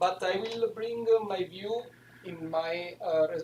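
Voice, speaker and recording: A man's high-pitched voice with an Italian accent. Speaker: professor. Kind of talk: lecture. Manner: halting.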